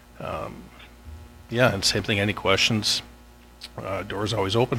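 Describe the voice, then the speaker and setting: Background music behind a man speaking at a moderate pace. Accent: western Canadian. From Canada, northern Alberta (Grande Prairie). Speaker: police corporal. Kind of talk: self-introduction at council meeting. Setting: town council meeting.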